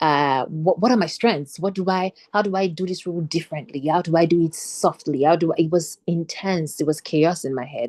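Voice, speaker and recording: A woman talks at a fairly quick pace, with hardly any pauses. Her pitch sits fairly low, with ordinary variation. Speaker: actor. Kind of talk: panel discussion. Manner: fast.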